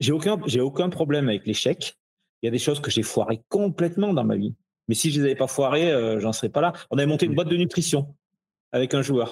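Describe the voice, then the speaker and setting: Speaking at a fairly quick pace, the voice is somewhat breathy, with lively intonation and very even loudness. The recording is very clean, with a silent background. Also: man, fairly high pitch for a man. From France, Ardèche. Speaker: athletic fitness coach. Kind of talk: casual interview chat.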